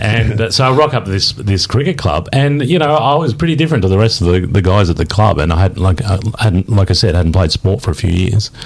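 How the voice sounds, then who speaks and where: A man's fairly low voice in an Australian accent, very fast with hardly any pauses, lively intonation, very even loudness, and noticeable background noise. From country Victoria, Australia. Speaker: podcast co-host. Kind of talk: casual chat.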